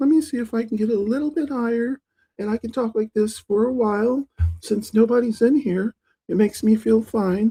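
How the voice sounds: This put-on character voice sounds strained, pitched fairly high and moving at a fairly quick pace.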